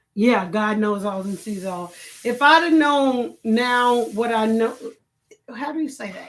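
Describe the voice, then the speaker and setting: With audible room echo, the voice shows ordinary pitch variation and big swings in loudness. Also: woman, fairly high pitch for a woman, fairly slow pace. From Chicago. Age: 50s. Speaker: online talk show host. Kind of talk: casual live-stream chat.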